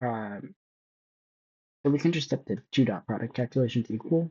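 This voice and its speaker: The speech is mumbled but carries lively intonation. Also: man. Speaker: student. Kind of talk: tutorial. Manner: halting; mumbling.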